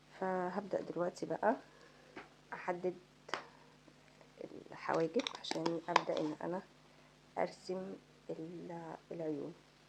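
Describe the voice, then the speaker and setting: Very slow speech from a woman with a fairly low pitch, fairly even intonation, long and frequent pauses, and noticeable background noise. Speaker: beauty vlogger. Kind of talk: makeup tutorial. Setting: home at night. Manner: soft-spoken; casual.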